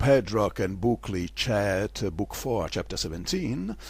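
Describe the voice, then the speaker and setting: A man with a non-native accent speaks fairly slowly, at a fairly low pitch, in a somewhat breathy voice with fairly even intonation. The recording is very clean, with a silent background. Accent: non-native English, self-noted. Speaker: literary performer and lecturer. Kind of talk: theatrical literary lecture. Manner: histrionic.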